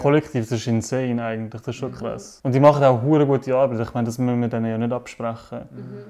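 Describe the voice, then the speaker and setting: In a dark, mellow tone, a man at medium pitch talks very fast with hardly any pauses, his intonation monotone and flat but his loudness swinging widely. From Switzerland, Zurich. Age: 20s. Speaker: student and activist. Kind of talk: casual discussion.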